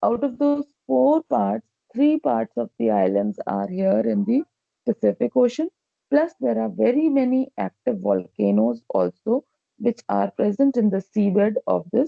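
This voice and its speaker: A fairly slow pace with very even loudness. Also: woman. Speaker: school teacher. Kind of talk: lecture.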